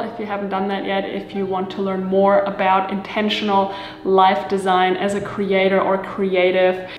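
Light background noise and audible room echo surround a woman's voice. She speaks at a moderate pace. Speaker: lifestyle video creator. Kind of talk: casual vlog chat. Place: kitchen.

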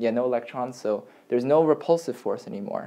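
Fairly quick delivery comes from a man with a dark, mellow tone. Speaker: chemistry tutor. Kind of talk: lecture. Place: home room. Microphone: camera far.

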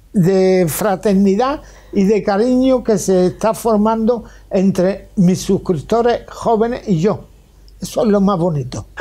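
A man speaks with a high pitch and a dark, mellow tone, with ordinary pitch variation. His pace is fairly slow, and the background is quiet. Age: 80s. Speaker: retired grandfather YouTuber. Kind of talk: interview answer. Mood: warm, cheerful, animated. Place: office. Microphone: lapel.

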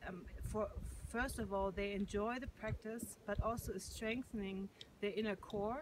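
A woman with a German accent talks at a fairly slow pace in a dry sound with no echo, with noticeable background noise. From Germany. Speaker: yoga and meditation teacher. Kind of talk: testimony and appeal to camera. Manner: hesitant, with frequent fillers. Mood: calm, warm, grateful. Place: open country. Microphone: phone near.

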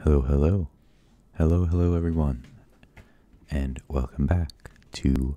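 With a very deep, low pitch and a dark, mellow tone, a man speaks at a fairly slow pace with fairly even intonation and long, frequent pauses, in a dry sound with no echo. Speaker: ASMR reader. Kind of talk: casual talk to camera. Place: home room.

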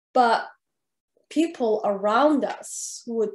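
At a very slow pace, a woman with fairly high pitch and ordinary pitch variation speaks over a quiet background with audible room echo. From Saudi Arabia. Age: 30s. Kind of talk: interview. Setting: video call. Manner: nervous. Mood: calm, reflective. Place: home room. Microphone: webcam.

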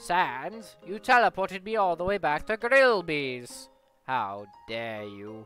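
A put-on character voice at a middle pitch swings very widely in pitch. It moves at a fairly slow pace, with faint music in the background. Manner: loud, goofy, theatrical.

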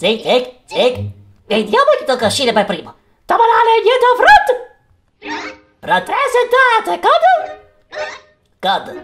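A man in a put-on character voice, extremely high-pitched, at a fairly slow pace with long, frequent pauses. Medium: dub.

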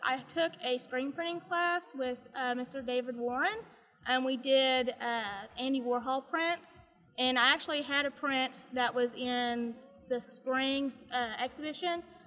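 Using a raised, projected voice, a woman speaks at a fairly slow pace with ordinary pitch variation. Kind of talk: interview answer. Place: street.

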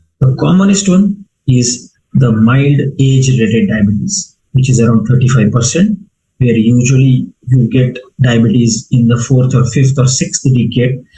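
A man speaks at a fairly slow pace in a medium pitch, with a dark, mellow tone. His voice is somewhat breathy, and his intonation is lively. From India. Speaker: physician; medical lecturer. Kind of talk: lecture.

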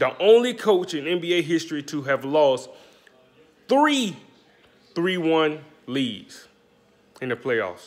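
A man with an American accent at a very slow pace, with long, frequent pauses. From US South, Alabama (Birmingham/Bessemer). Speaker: sports commentator YouTuber. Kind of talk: casual sports commentary vlog. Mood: mocking, opinionated. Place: kitchen. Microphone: phone near.

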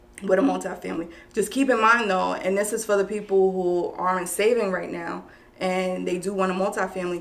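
At a fairly quick pace, a woman talks with a New York accent in a monotone, flat intonation. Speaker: real estate broker; guest. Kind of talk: explaining a mortgage program in an interview. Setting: live online video stream. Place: meeting room. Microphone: camera far.

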